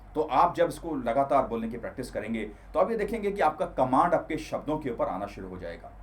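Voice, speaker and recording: Fairly high male voice with very wide pitch swings, at a moderate pace. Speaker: self-improvement coach. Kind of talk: tutorial.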